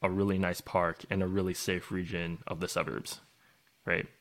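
In a very clean recording with a silent background, a man with a Canadian accent speaks at a moderate pace in a fairly low pitch, a plain, everyday voice. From Canada (Vancouver area). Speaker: podcast co-host. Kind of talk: casual chat.

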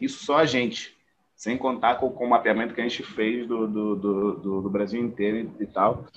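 A man's voice sits at medium pitch. He talks at a moderate pace with fairly even intonation. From Angola. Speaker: actor and producer. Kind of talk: interview conversation. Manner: halting, many repetitions.

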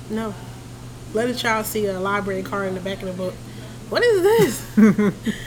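Against noticeable background noise and audible room echo, a woman with an American accent speaks at a moderate pace with long, frequent pauses. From Philadelphia, US. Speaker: podcast guest, mother. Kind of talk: casual chat.

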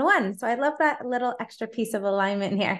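A woman speaks in an unremarkable speaking voice, fairly high in pitch with ordinary pitch variation. The background is quiet. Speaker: podcast host and life coach. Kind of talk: casual interview.

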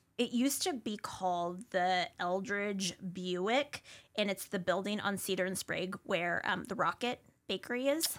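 A woman's plain, everyday voice with an American accent, medium pitch, ordinary pitch variation and a fairly slow pace. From US Pacific Northwest, Spokane. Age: 30s. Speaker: food influencer. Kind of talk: casual chat.

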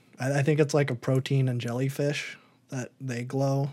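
Using an ordinary speaking voice, a man talks at a moderate pace with a fairly high pitch. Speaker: podcast host. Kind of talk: casual chat.

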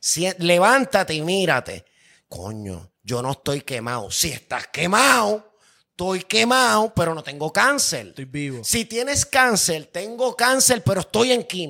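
A man's high-pitched, bright, sharp voice with a Puerto Rican accent, very wide pitch swings, an animated tone and a fairly slow pace. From Puerto Rico, Carolina. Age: 40s. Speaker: music producer. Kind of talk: casual chat.

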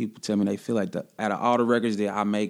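Very fast male speech with a fairly low pitch and fairly even intonation, on a very clean recording with a silent background. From Kansas City, Missouri. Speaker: rapper. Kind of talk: casual interview.

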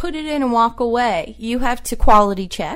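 With lively intonation and a moderate pace, a woman talks in an unremarkable speaking voice. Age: 20s. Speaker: archivist. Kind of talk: casual interview.

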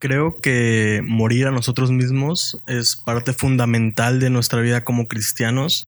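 In a very clean recording with a silent background, a man talks at a fairly slow pace in a medium pitch, monotone and flat. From Mexico, Puebla and Veracruz. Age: young. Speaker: university student. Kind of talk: casual chat.

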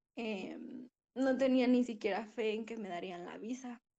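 Speaking at a fairly slow pace, a woman has a fairly high pitch, ordinary pitch variation and a dark, mellow tone. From Mexico, Puebla. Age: 20s. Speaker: architecture student. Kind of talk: testimony. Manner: halting.

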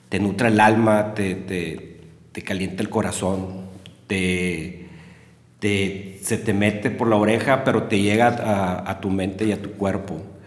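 Very slow, monotone, flat delivery from a man at a fairly low pitch, with audible room echo. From Mexico, Monterrey. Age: 40s. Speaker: music enthusiast and musician. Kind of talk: casual chat.

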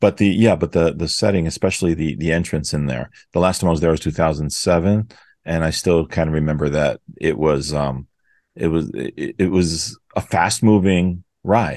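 With an American accent, a man speaks at a very deep, low pitch and a moderate pace, showing ordinary pitch variation. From New York City. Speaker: podcast co-host. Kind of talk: casual chat.

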